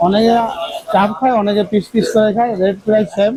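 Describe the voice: This man has a high pitch for a man, a dark, mellow tone, fairly even intonation and a moderate pace.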